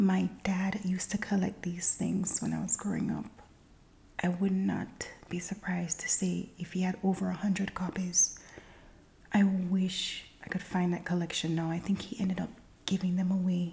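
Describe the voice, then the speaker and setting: Soft-spoken speech moves at a moderate pace over noticeable background noise. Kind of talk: ASMR magazine reading.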